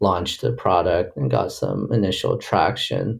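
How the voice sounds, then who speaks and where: An American-accented man with vocal fry and ordinary pitch variation. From US, Boston area and San Francisco Bay Area. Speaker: tech startup co-founder and product executive. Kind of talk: interview. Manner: hesitant with many fillers.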